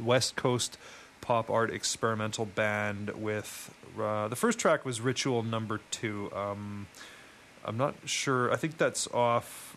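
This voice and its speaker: Very slow in pace, a man speaks with fairly even intonation. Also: medium pitch for a man. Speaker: college radio DJ. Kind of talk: rambling, conversational radio DJ back-announcing of a long music set. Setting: radio studio. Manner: halting, riddled with ums and uhs.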